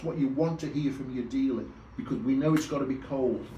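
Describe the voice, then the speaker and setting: A man with a fairly high pitch speaks with ordinary pitch variation over noticeable background noise, with audible room echo. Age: 60s. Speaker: motorcycle vlogger. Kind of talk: casual vlog tutorial. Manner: hesitant, repeats words.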